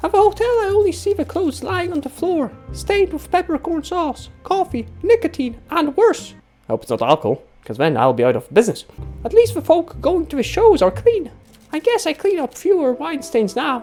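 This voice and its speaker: Over faint music in the background, a put-on character voice talks at a fairly quick pace in a high pitch. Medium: solo performance. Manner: chatty, wry.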